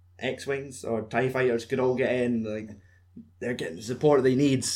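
A medium-pitched man with a Scottish accent. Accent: Scottish (Fife). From Fife, Scotland. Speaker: podcast host. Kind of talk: casual chat. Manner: joking, swearing.

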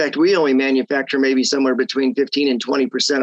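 An ordinary speaking voice from a man, medium-pitched, fairly quick, with dry, close sound and no echo. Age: 50s. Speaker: real estate economist. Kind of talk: interview. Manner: conversational with fillers.

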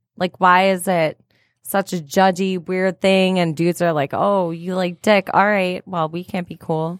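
In a dry, close sound with no echo, a woman with a Michigan accent speaks fairly slowly in a monotone, flat intonation. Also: medium pitch for a woman. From St. Clair Shores, Michigan. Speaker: podcast co-host. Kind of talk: casual chat. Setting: studio.

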